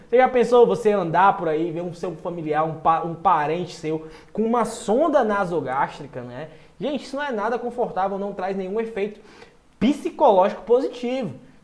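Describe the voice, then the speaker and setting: Over noticeable background noise and audible room echo, a man speaks at a moderate pace in a high, animated voice with lively intonation and big swings in loudness. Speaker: nutrition exam-prep teacher. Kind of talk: online lecture. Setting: live stream.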